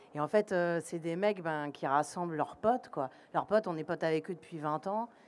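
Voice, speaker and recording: A woman with a Parisian accent and ordinary pitch variation, in a very clean recording with a silent background. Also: fairly low pitch for a woman, moderate pace. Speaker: actor. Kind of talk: red carpet interview. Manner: halting, many repetitions.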